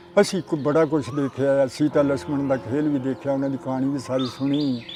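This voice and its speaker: This man's intonation stays fairly even while noticeable background noise fills the recording. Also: fairly high pitch for a man. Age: 80s+. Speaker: partition eyewitness. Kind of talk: interview storytelling.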